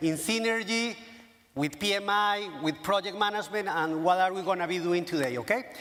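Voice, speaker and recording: A man talks at a high pitch while noticeable background noise carries on behind him. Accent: Latin American. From Colombia. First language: Spanish. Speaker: professional association chairman. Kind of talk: conference keynote. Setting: stage with audience. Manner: animated.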